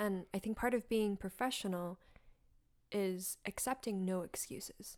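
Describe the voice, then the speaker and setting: A woman has an unremarkable speaking voice at medium pitch. She talks at a fairly slow pace with ordinary pitch variation. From North Carolina, US (born in China, moved at five). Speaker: artist and writer, tango dancer. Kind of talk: casual interview chat. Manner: frequent laughter.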